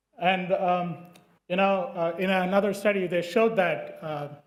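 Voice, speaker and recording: A man with a non-native accent speaks in a high voice, with fairly even intonation. Some room echo can be heard. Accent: non-native English, noticeable R's. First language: not English. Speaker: dermatologist presenting research. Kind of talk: conference presentation. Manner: hesitant, many fillers.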